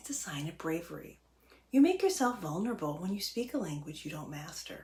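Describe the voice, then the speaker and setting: A somewhat breathy woman's voice, fairly low in pitch, with very wide pitch swings, a fairly quick pace and a dark, mellow tone. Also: big swings in loudness. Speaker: political scientist. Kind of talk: explainer talk to camera.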